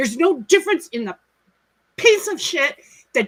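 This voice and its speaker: A woman speaks in a raised, projected voice, her pitch swinging very widely. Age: 60s. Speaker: stream co-host in group chat. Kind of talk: emotional testimony in casual group chat. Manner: emotional, halting.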